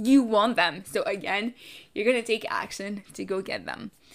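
A woman's fairly high voice in a French accent, animated and energetic, in a very clean recording with a silent background. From Canada. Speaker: podcast host, financial activist and entrepreneur. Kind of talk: solo podcast monologue, casual and motivational. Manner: animated, energetic, casual.

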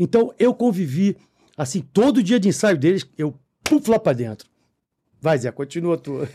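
A man with a high pitch and a dark, mellow tone speaks at a fairly slow pace, leaving long, frequent pauses. His pitch swings very widely, and the sound is dry and close with no echo. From Brazil, Rio de Janeiro (Copacabana). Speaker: podcast co-host and musician. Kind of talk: casual chat. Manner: animated.

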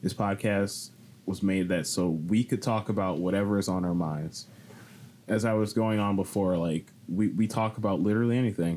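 A man with a plain, everyday voice, fairly low pitch, fairly even intonation and a moderate pace. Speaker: podcast host. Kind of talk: casual chat.

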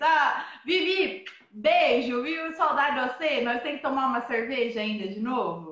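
Over noticeable background noise and audible room echo, a woman talks at a high pitch. Her pace is fairly slow. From southern Minas Gerais, Brazil. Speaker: van-life traveler. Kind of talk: casual interview. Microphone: unstable internet connection.

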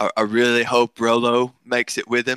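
With an American accent, a man speaks in a bright, sharp tone. The sound is dry and close, with no echo. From US South. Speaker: podcaster and tabletop player. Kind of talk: casual chat.

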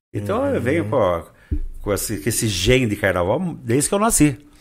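The pace is fairly quick. A man talks with lively intonation. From Brazil, Rio Claro (São Paulo state). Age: 60s. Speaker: social columnist and carnival designer. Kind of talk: casual interview.

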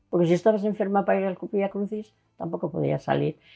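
A woman's dark, mellow voice with vocal fry. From Spain, Burgos province (Castile). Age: 80s+. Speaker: local resident interviewee. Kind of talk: interview.

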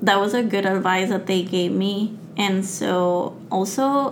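A woman talks at a very slow pace, her intonation fairly even. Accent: Spanish. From Mexico. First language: Spanish. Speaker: graduate student and science communicator. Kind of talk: interview.

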